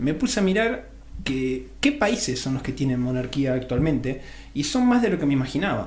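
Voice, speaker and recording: A man speaks with an Argentine accent at a moderate pace. Audible room echo is present. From Argentina. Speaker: radio host. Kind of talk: radio interview.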